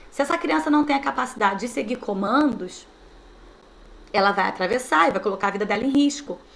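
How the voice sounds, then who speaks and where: A woman speaks in an animated tone, her fairly high voice swinging very widely in pitch. There is audible room echo and noticeable background noise, with long, frequent pauses. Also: fairly quick pace. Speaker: teacher trainer. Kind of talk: online training lecture.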